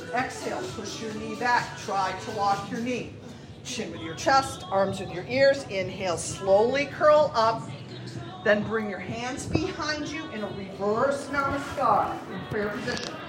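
Music plays behind a woman whose fairly high voice moves at a fairly slow pace. Her intonation is lively, and her loudness swings widely. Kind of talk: guided yoga class, step-by-step cueing of poses. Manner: calm, soothing, encouraging, steady instructional pace with warm praise.

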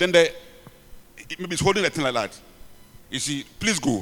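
A man with a Ghanaian accent speaks at a high pitch. Noticeable background noise runs behind him. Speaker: preacher and bishop. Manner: animated, repetitive, halting at times.

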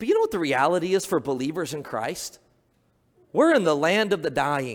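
A man speaks with vocal fry. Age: 30s. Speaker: pastor. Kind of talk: sermon.

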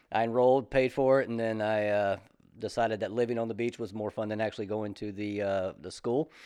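With a Southern US accent, the voice has a dark, mellow tone, fairly even intonation and a fairly quick pace. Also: man, fairly low pitch for a man. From South Carolina, Columbia. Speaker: retired army soldier turned real estate agent. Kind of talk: casual interview.

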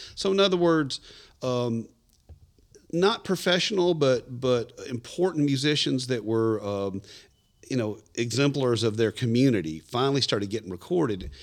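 Speaking in a Southern US accent, a man keeps a medium pitch while his voice makes very wide pitch swings. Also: moderate pace, very clean recording, silent background. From Middle Tennessee. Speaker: musician. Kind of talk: casual chat.

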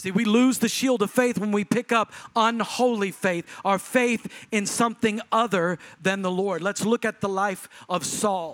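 A man with an American accent speaks fairly slowly in a high pitch with fairly even intonation. The sound is dry and close, with no echo. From Texas. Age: 40s. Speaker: pastor. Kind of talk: sermon, charismatic preacher exhorting the congregation. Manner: emphatic, urgent exhortation in short punchy imperatives; rhythmic, building intensity.

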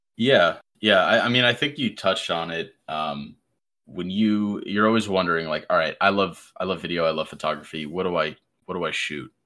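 On a very clean recording with a silent background, a man with a very deep, low pitch and a bright, sharp tone talks at a fairly quick pace, his pitch varying in an ordinary way. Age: 20s. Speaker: gaming content creator. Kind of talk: casual chat.

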